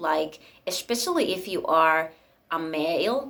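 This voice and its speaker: This is a woman speaking with a Finnish accent. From Finland. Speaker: spiritual YouTuber. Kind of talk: casual monologue. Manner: rambling, hesitant with many fillers.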